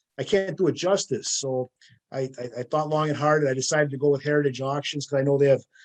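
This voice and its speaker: Speaking at a very fast pace, a man with an American accent talks at a fairly high pitch. His intonation stays fairly even. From US Midwest, northern Wisconsin. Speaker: sports memorabilia collector. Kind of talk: interview.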